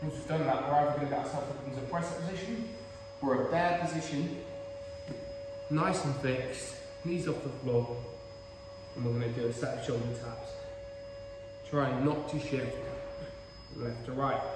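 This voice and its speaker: A man talks at a moderate pace with ordinary pitch variation, leaving long, frequent pauses, amid noticeable background noise and audible room echo. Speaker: fitness coach. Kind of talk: tutorial. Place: gym. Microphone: camera far.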